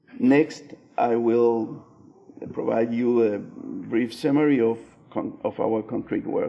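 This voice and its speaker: The speaker is a man with a Spanish accent. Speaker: architect. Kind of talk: conference presentation read aloud. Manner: halting, many fillers.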